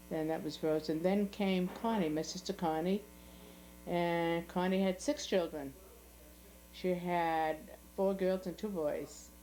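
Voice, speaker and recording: A woman's fairly low, dark, mellow voice in a Boston accent, fairly slow and fairly even, with long, frequent pauses. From US Northeast, South Boston, Massachusetts. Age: 80s+. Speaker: family elder interviewee. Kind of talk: oral history interview. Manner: halting.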